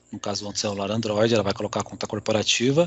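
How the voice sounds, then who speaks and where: Someone talks at a very fast pace with a Brazilian accent. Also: man. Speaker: IT security speaker. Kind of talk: technical presentation.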